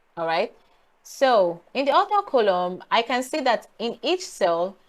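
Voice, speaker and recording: Speaking at a fairly slow pace, a woman talks with a Nigerian accent. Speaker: data analytics YouTuber. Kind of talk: tutorial. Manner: casual, hesitant with fillers.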